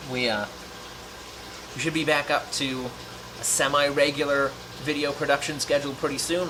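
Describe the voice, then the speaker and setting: The man speaks at a fairly quick pace. Noticeable background noise runs underneath. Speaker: aquarium YouTuber. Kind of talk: casual vlog update.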